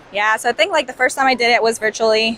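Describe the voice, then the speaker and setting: A woman speaks with a Spanish accent. The sound is dry and close, with no echo. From Colombia. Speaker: chemical engineer. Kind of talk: interview conversation. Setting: conference.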